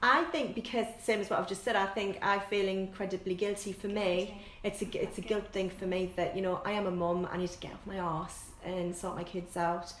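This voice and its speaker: A woman with a northern English accent talks at a fairly quick pace, barely pausing, her intonation fairly even. The recording has audible room echo and noticeable background noise. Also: medium pitch for a woman. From northern England. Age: 40s. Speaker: fitness instructor. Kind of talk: casual chat.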